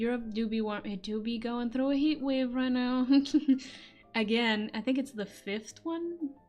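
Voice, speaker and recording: The woman's delivery is fairly slow. Music can be heard behind her. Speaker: voice actor and streamer. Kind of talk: casual chat. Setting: live stream from her room.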